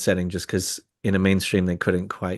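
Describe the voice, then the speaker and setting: In an Irish accent, a man talks at a fairly quick pace. His pitch is fairly low, and the background is quiet. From Ireland. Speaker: spiritual speaker. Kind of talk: casual discussion. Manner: halting.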